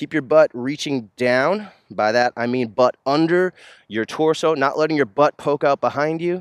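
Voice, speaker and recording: A man with a normal speaking voice talks at a moderate pace and fairly high pitch with ordinary pitch variation, in a dry, close sound with no echo. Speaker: yoga instructor. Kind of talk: guided yoga workout instruction, calm and clear cues. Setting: outdoors, filming at a park. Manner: steady, instructional, relaxed with a few filler words.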